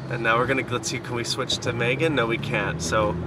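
There is loud background noise behind a man whose voice has a dry sound with no echo. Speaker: passenger vlogger. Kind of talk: casual vlog chat. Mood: cheerful, playful. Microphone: phone near.

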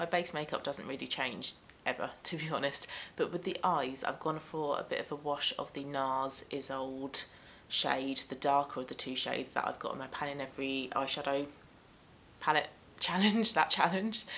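Light background noise sits behind a bright, sharp tone. The pace is moderate, with ordinary pitch variation. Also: woman, very deep, low pitch for a woman. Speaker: beauty vlogger. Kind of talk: casual chat. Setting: home. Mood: relaxed, friendly. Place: home room.

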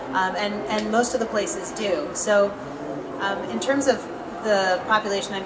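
A woman speaks at a moderate pace with an American accent. Loud background noise runs behind her. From Boston. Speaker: poet and editor. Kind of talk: panel discussion. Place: hall. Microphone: handheld.

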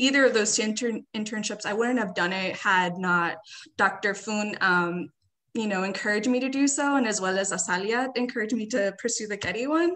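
Speaking at a moderate pace with an American accent, a woman with fairly high pitch and a bright, sharp tone uses ordinary pitch variation against a quiet background. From Riverside, California; California. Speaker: graduate student; panelist. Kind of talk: panel discussion. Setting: video call. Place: home room. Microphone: webcam.

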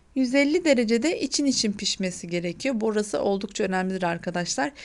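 This woman has an unremarkable speaking voice with fairly high pitch and lively intonation. She goes at a moderate pace against a quiet background. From Hatay, southern Turkey. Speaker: cooking channel host. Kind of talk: cooking tutorial.

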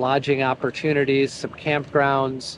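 Light background noise behind a man's dry, echo-free voice. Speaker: motorcycle travel vlogger. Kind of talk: casual vlog chat. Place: street. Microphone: phone near.

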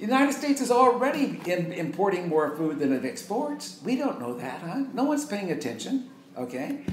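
A man speaks in a high voice with very wide pitch swings and hardly any pauses. Light background noise and audible room echo are present. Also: moderate pace. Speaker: retired professor and activist speaker. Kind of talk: lecture. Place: home room. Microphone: camera far.

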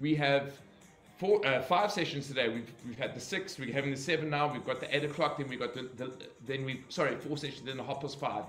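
A man at a very fast pace, with audible room echo and faint music in the background. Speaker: fitness instructor. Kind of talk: livestream announcements to class. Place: home room. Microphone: webcam.

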